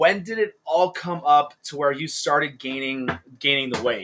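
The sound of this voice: Speaking at a fairly slow pace, a man with a fairly high pitch and fairly bright tone uses lively intonation.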